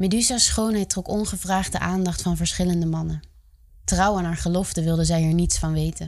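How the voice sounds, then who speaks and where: A woman's voice, dramatic and serious in tone. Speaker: podcast host. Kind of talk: mythic storytelling narration, solemn retelling of a Greek myth. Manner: measured, dramatic and serious, with a vivid storyteller's cadence.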